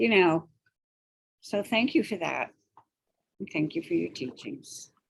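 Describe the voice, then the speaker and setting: Her pitch medium but swinging very widely, a woman talks at a fairly slow pace with vocal fry. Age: 70s. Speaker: meditation group participant. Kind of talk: sharing in online meditation group. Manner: hesitant, with filler sounds.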